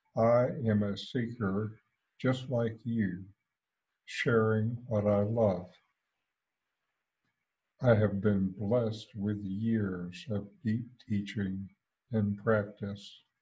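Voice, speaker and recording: The voice is dark and mellow, somewhat breathy, and flat and monotone. It moves at a very slow pace with long, frequent pauses. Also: man, fairly low pitch for a man. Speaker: satsang host. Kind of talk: spiritual talk introduction. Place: home room. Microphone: headset.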